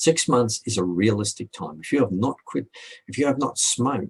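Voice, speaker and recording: Man with a somewhat breathy voice at medium pitch, lively intonation and moderate pace, in a dry, close sound with no echo. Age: 60s. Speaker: hypnotherapist. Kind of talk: video FAQ.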